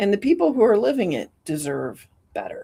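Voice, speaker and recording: At a moderate pace, a woman talks at a medium pitch with an animated tone and lively intonation. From Chicago area, US Midwest. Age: 60s. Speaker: state representative and business owner. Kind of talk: interview conversation.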